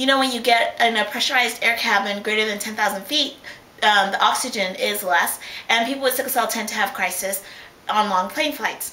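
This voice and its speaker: A woman's voice comes through noticeable background noise and audible room echo. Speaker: vlogger with sickle cell disease. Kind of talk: casual video blog. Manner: fast.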